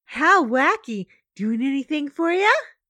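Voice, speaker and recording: A woman uses a put-on character voice with a high pitch. It is raised and projected, at a moderate pace. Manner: wacky, playful.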